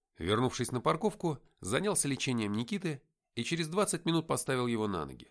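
The background is quiet. The speaker uses a natural reading voice with lively intonation.

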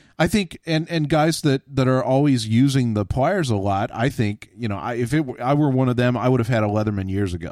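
A man's medium-pitched, unremarkable speaking voice with an American accent, lively intonation and a fairly quick pace. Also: hardly any pauses. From Texas. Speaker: podcast host on tools. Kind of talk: casual chat.

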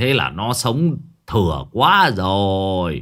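On a very clean recording with a silent background, a man in a put-on character voice speaks slowly at a low pitch with a fairly bright tone and big pitch swings.

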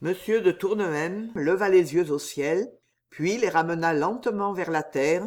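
Against a quiet background, the voice is plain reading aloud.

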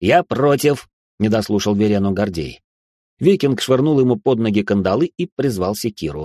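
Quiet background behind a natural reading voice.

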